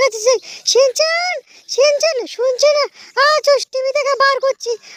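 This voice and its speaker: Using a put-on character voice at an extremely high pitch, a woman talks at a moderate pace in a dry, close sound with no echo. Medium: machinima. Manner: scolding, impatient.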